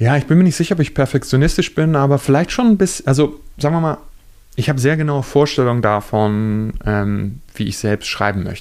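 An ordinary speaking voice from a man, fairly high in pitch, fairly quick, with lively intonation. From Lower Saxony, Germany. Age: 30s. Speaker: journalist and author. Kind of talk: interview. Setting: hotel reading room.

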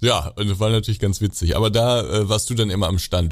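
This man talks at a very fast pace with a fairly low pitch. His intonation stays fairly even. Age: 20s. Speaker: YouTuber showing simulation games. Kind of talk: casual chat.

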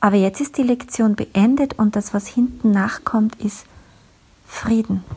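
A woman's somewhat breathy, fairly high-pitched voice with lively intonation. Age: 40s. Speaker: podcast host, communication coach. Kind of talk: solo podcast monologue.

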